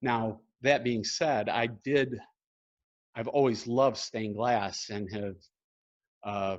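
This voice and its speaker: With an upstate New York accent, a man speaks at a very slow pace with long, frequent pauses and fairly even intonation. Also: medium pitch for a man. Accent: upstate New York accent, noticeable. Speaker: painter. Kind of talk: gallery talk and Q&A. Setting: art gallery, live stream. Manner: hesitant, many fillers.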